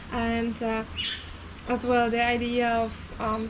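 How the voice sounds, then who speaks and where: A woman with a fairly high pitch speaks at a very slow pace in a monotone, flat intonation, with audible room echo and noticeable background noise. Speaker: vlogger. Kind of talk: casual chat.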